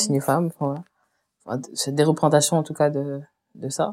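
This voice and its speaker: A woman talks at a moderate pace. Her tone is dark and mellow. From Réunion. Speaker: painter and illustrator. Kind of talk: interview conversation. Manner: hesitant, many fillers.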